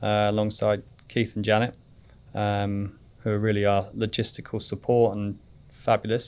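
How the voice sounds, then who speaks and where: A man with a British accent speaks in a fairly low pitch. His intonation is monotone and flat, broken by long, frequent pauses. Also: moderate pace. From England. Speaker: father of a child cancer survivor. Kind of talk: interview.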